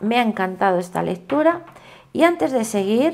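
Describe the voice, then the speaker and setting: Against noticeable background noise, a woman with fairly high pitch speaks at a moderate pace. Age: old. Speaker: tarot reader. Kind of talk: tarot reading monologue.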